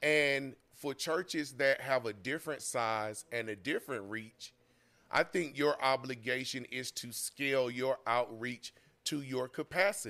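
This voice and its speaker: Fairly slow and at a medium pitch with ordinary variation, a man speaks in a bright, sharp tone, recorded very cleanly over a silent background. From Atlanta, Georgia. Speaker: minister and teacher. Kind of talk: interview. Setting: studio with live audience.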